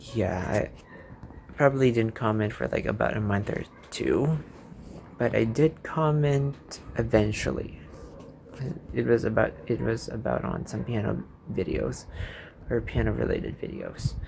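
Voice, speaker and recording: A man with a Filipino accent, long, frequent pauses and noticeable background noise. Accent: own accent noted, Filipino-English. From Philippines. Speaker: YouTuber. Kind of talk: casual vlog monologue, unscripted. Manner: rambling, hesitant with fillers.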